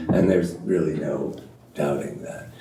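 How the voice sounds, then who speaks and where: A man talks at a moderate pace. The recording has noticeable background noise and audible room echo. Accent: American. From US (California). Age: 60s. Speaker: journalist and author. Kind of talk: panel discussion.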